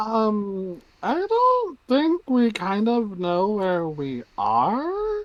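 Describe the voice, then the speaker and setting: A put-on character voice, female-sounding and fairly high in pitch, is performed. It moves at a very slow pace with hardly any pauses. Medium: virtual streamer. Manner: hesitant, polite.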